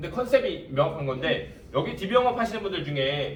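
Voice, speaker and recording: Noticeable background noise is in the recording. A man talks amid audible room echo. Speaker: insurance sales trainer. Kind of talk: lecture. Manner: fast.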